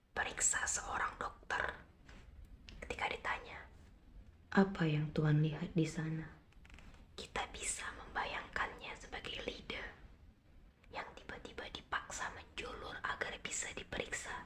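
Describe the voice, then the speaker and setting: A woman's whispering in a calm tone, fairly slow, with long, frequent pauses and noticeable background noise. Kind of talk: slow poetry reading. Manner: whispered, soft, calm.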